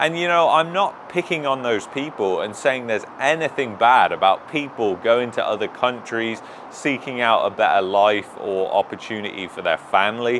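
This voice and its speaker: Lively intonation in an English accent at a moderate pace, hardly any pauses, and noticeable background noise. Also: man, medium pitch for a man. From England. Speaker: YouTube commentator. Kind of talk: opinion commentary. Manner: animated.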